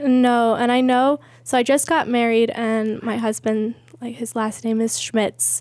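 In an American accent, a woman with an unremarkable speaking voice and a fairly high pitch talks at a fairly slow pace with fairly even intonation. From USA, military family moving around. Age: 30s. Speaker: church member sharing testimony. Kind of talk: testimony.

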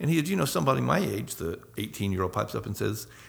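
A man talks at a very fast pace with vocal fry and very wide swings in pitch. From US South, Northwest Florida. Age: 50s. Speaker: missionary. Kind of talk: casual interview. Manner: halting.

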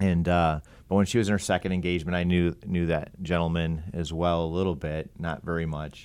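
This man speaks with an American accent. His pitch is very deep and low, and his intonation is monotone and flat. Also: very clean recording, silent background. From Ohio. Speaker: nonprofit president. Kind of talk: casual interview chat.

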